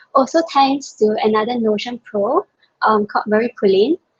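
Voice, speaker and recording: A woman's fairly high voice at a moderate pace, ordinary pitch variation, an unremarkable speaking voice, and a dry, close sound with no echo. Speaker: productivity workshop presenter. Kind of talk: webinar presentation. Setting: video call.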